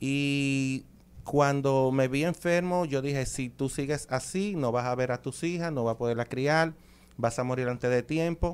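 At a fairly slow pace, a man with a Dominican accent speaks with ordinary pitch variation. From Dominican Republic. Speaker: chiropractor and ancestral medicine practitioner. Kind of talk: promotional interview chat. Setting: radio studio. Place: studio. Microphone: studio mic.

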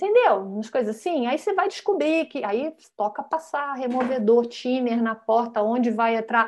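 A woman speaks in a high voice with lively intonation at a moderate pace. She hardly pauses, and light background noise can be heard. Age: 50s. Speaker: design professor and author; design professor guest. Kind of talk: casual interview chat. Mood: animated, amused. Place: home room. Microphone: video call.

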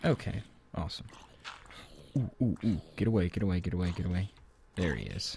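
The voice has vocal fry, lively intonation and a fairly quick pace broken by long, frequent pauses. The sound is dry with no echo and light background noise. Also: man, very deep, low pitch for a man. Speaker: gaming let's play host. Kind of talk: casual gameplay commentary.

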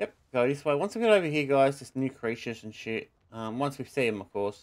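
In a quiet background, a man speaks at a very fast pace with lively intonation and big swings in loudness. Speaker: gaming YouTuber. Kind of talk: gameplay commentary. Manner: louder than usual. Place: home room.

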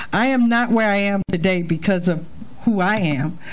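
A woman does the talking. Her pace is moderate. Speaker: pastor. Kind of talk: sermon. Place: church. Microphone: handheld.

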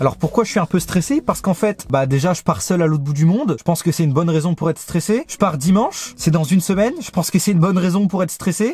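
A man speaks very fast in an animated tone, with a high pitch and lively intonation, in a dry sound with no echo. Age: 20s. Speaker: youtuber. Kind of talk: casual vlog to camera. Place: car. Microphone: phone near.

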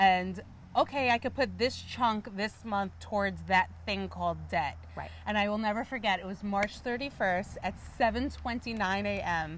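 With an American accent, a woman speaks at a fairly slow pace, the sound dry with no echo and light background noise behind her. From New York City. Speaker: event company founder; interview guest. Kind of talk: interview. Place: garden. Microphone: lapel.

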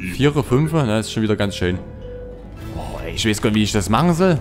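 Music plays in the background. A man with a fairly low voice talks at a fairly quick pace. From Saxony, Germany. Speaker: let's play gamer. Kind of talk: casual gameplay commentary.

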